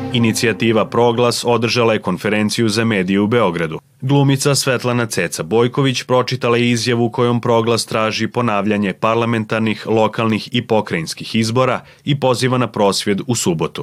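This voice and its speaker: A man with an unremarkable speaking voice talks at a fairly quick pace in a medium pitch, with fairly even intonation and hardly any pauses. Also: very even loudness, very clean recording, silent background. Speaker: news presenter. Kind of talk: news reading.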